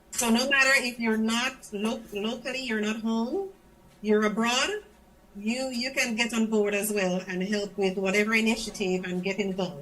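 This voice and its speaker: Over noticeable background noise, a woman with a Grenadian accent speaks at a moderate pace, fairly high in pitch with ordinary pitch variation. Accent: Grenadian accent, retained. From Grenada. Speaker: schoolteacher in the diaspora. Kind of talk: interview on political party show. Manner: animated.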